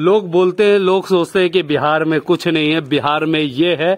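The speaker keeps a moderate pace with fairly even intonation. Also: man, fairly high pitch for a man.

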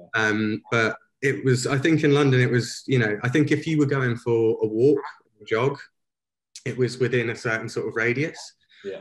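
Here a man talks at a moderate pace with ordinary pitch variation, sounding somewhat breathy. The background is quiet. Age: 20s. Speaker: street photographer; guest. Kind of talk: interview. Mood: relaxed reflective. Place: home room. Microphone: video call.

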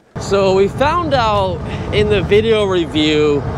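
Noticeable background noise sits behind a man whose sound is dry with no echo. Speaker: e-bike reviewer. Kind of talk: casual vlog commentary. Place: bicycle. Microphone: helmet.

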